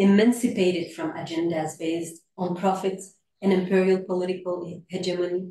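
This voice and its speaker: A woman's somewhat breathy voice with a dark, mellow tone and audible room echo. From Iraq, educated in France. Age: young. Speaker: sociology professor. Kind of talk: academic lecture. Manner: formal.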